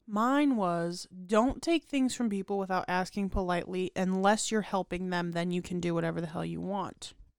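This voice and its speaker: Speaking at a moderate pace with hardly any pauses, a woman uses medium pitch and ordinary pitch variation in an ordinary speaking voice. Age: 20s. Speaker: podcast co-host. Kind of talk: casual chat.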